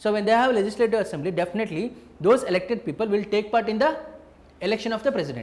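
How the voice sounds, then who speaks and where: A man talks at a very fast pace in a high voice. His pitch varies in an ordinary way. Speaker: teacher. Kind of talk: lecture. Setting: live online class.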